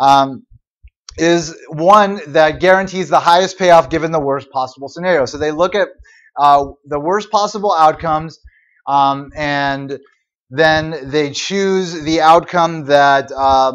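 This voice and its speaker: A man with an unremarkable speaking voice talks at a fairly slow pace against a quiet background. His pitch is fairly high, with ordinary pitch variation. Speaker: university economics lecturer. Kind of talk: lecture.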